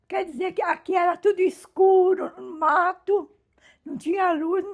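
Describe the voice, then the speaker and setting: An extremely high-pitched woman speaking at a fairly slow pace. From São Paulo, Brazil. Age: 80s+. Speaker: longtime resident. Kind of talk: documentary interview.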